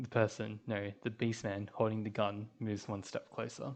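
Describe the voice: It is plain reading aloud.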